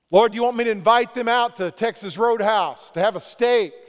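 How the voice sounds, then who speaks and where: A loud, animated man's voice, high-pitched, at a moderate pace. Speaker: pastor. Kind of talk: sermon. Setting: church.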